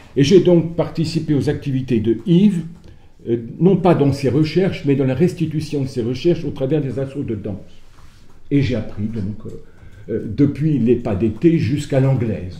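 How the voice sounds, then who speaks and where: Fairly high-pitched male voice, somewhat breathy with a dark, mellow tone, lively intonation, moderate pace, long, frequent pauses, and audible room echo. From France, Sarthe. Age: 70s. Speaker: folk dancer and retired teacher. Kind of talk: conference talk. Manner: hesitant, many fillers.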